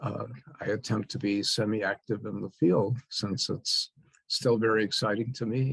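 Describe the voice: The speaker has vocal fry and a slightly husky edge, with fairly even intonation at a fairly slow pace. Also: man.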